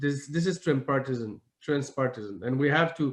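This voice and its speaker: A man with a medium-pitched voice speaks using lively intonation. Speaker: member of parliament. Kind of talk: conference speech. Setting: online video conference. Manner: halting.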